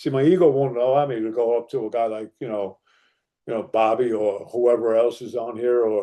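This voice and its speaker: A man with an American accent, medium pitch, a dark, mellow tone, ordinary pitch variation and a fairly quick pace against a quiet background. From northern New Jersey. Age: 60s. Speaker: recovery speaker. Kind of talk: testimony. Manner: animated.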